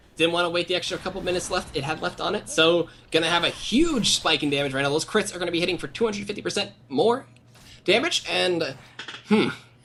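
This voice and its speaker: Noticeable background noise is present throughout. The talking is very fast. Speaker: esports caster. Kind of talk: live commentary.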